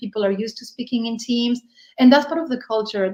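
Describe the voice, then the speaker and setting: A woman with a Spanish accent talks in a fairly high voice with ordinary pitch variation. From Spain. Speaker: business leader, inclusion advocate. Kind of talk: interview self-introduction.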